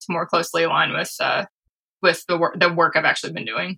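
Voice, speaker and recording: A woman with vocal fry and a bright, sharp tone talks at a fairly quick pace. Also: dry, close sound with no echo. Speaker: software developer turned product person. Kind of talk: casual chat. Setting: video call. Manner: uses filler words as spacers.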